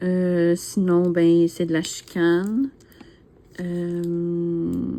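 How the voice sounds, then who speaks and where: A fairly low-pitched woman's voice in a Quebec accent, at a very slow pace. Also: fairly even intonation. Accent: Québécois French. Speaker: YouTuber, diamond painting hobbyist. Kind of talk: casual chat, tag video answering questions. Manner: hesitant, many fillers.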